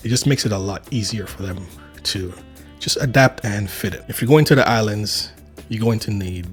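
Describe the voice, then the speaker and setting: Music plays in the background as a man speaks at a moderate pace. His voice is fairly low, with ordinary pitch variation. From Saint Vincent. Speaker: travel vlogger. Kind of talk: casual talk to camera.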